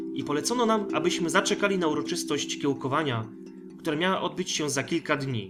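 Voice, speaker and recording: A man delivers his words at a moderate pace while music plays behind him. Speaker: audiobook narrator. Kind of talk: sci-fi short story audiobook reading.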